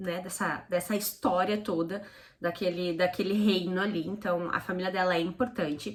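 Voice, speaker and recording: This voice belongs to a woman. Her pitch sits in the medium range. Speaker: book reviewer. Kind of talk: casual book review. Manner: fast.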